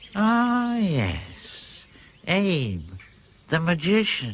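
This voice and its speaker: The man puts on a character voice pitched high. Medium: short film. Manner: calm, knowing.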